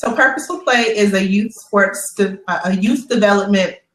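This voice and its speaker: A woman with an American accent and a normal speaking voice, at a medium pitch, a moderate pace, and ordinary pitch variation. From Chicago. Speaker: youth sports nonprofit founder. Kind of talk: interview.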